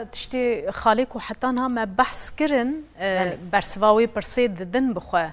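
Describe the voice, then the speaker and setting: This is an ordinary speaking voice. It moves at a moderate pace with ordinary pitch variation. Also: woman. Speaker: TV presenter. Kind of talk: panel discussion remembering a colleague. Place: studio. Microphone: lapel.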